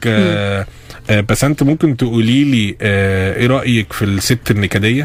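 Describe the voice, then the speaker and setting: Over noticeable background noise, a man speaks at a moderate pace with a fairly low pitch and ordinary pitch variation. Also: very even loudness. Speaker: radio host. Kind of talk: radio interview hosting. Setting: studio. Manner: casual, joking.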